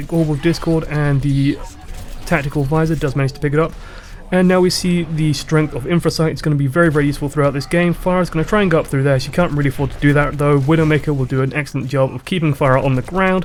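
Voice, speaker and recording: A man's fairly high-pitched voice at a very fast pace with fairly even intonation, over noticeable background noise. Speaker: gaming commentator. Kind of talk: game analysis commentary.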